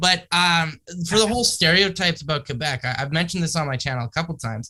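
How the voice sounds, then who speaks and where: A bright, sharp tone at a very fast pace. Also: man. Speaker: film crew worker and YouTuber. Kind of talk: casual podcast chat. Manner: casual, with many fillers.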